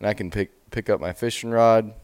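Someone with an American accent is heard in a very clean recording with a silent background. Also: man. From Spokane, Washington (US Pacific Northwest). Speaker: wrestling coach. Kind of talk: casual interview. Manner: halting, filler-heavy.

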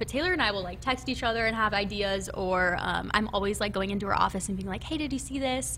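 With a Midwestern American accent, a woman speaks with ordinary pitch variation. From Nebraska. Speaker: college football recruiting staffer. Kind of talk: casual interview. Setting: studio.

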